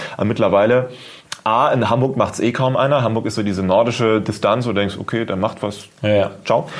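A man's medium-pitched voice, fairly quick and fairly even in intonation, amid noticeable background noise. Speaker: YouTuber. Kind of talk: casual chat.

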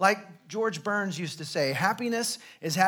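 Pitch varies in an ordinary way through this reading aloud in a natural voice.

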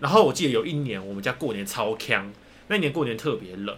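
A man speaks with a Taiwanese accent. His pace is moderate. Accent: Taiwanese Mandarin. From Taiwan, rural Hakka area. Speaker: podcast co-host. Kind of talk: casual chat.

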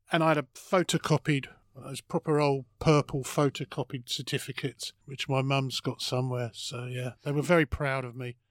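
Dry and close with no echo, this very clean recording with a silent background has a man in an English accent speaking at a fairly high pitch, a moderate pace and fairly even intonation. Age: 50s. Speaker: comedian. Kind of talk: casual chat. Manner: halting.

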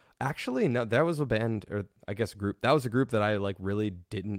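This man has an unremarkable speaking voice, with an American accent, ordinary pitch variation and a moderate pace. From Colorado. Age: 30s. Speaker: death metal vocalist. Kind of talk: casual chat. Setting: video call.

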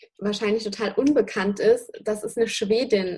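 A normal speaking voice delivered at a fairly slow pace. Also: woman. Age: 20s. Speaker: dog trainer and online dog school founder. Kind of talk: interview.

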